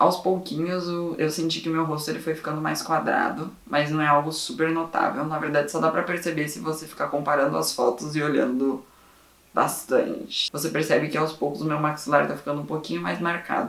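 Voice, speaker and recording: Noticeable background noise sits under speech that has ordinary pitch variation. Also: man. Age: 20s. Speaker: vlogger. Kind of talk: personal vlog. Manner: casual.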